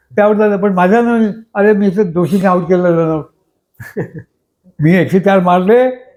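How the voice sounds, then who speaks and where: Using a high voice, a man speaks with fairly even intonation and very even loudness. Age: 80s+. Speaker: former cricketer, painter and sculptor. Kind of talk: interview answer.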